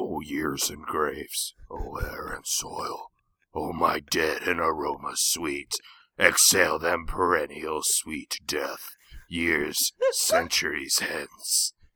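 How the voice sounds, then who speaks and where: In a raspy put-on character voice, a man speaks at a very slow pace. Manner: aggressive, guttural.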